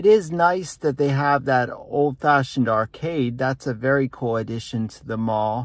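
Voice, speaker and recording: A man talks at a fairly slow pace. The sound is dry with no echo over a quiet background. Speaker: vlogger. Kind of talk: casual vlog chat. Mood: relaxed wrap-up. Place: car. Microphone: phone near.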